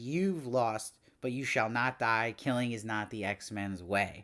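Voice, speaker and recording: In a put-on character voice at a medium pitch, a man talks at a fairly slow pace on a very clean recording with a silent background. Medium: solo performance. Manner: formal, regal.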